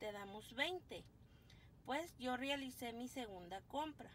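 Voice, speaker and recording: Her tone is animated, with lively intonation and a high pitch. A woman talks over light background noise. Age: 40s. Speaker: couponing vlogger. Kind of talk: casual haul video. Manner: chatty, animated. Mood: cheerful, chatty. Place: car. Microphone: phone near.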